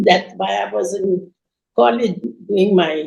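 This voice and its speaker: A woman talks at a very slow pace. Vocal fry runs through her voice. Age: 80s+. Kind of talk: interview answer.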